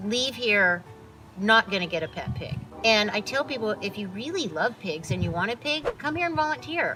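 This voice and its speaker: A woman's fairly high voice at a moderate pace, with very wide pitch swings and music in the background. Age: 60s. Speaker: animal sanctuary founder. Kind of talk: interview.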